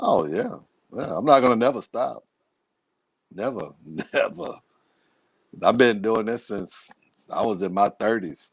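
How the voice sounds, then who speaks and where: A man speaks with an American accent at a fairly slow pace. His speech has long, frequent pauses. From Beaumont, Texas. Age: 60s. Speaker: council candidate. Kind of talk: casual interview.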